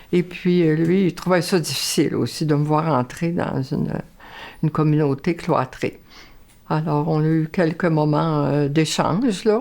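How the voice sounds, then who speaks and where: At a fairly slow pace, a woman with a very deep, low pitch speaks with very even loudness and fairly even intonation. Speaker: nun. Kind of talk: interview testimony.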